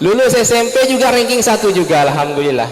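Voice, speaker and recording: Speaking fairly quickly with a Malay accent, a man uses an extremely high pitch and very wide pitch swings, with noticeable background noise and audible room echo. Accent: Malay-accented Indonesian. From Indonesia, West Kalimantan. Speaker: seminar speaker. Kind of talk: parenting seminar talk. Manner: relaxed, conversational.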